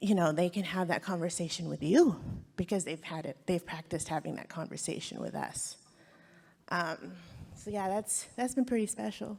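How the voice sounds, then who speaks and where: A woman with fairly low pitch speaks with vocal fry. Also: moderate pace. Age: 40s. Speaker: birth worker and panelist. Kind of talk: panel discussion. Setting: stage with audience. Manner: halting, many fillers and restarts.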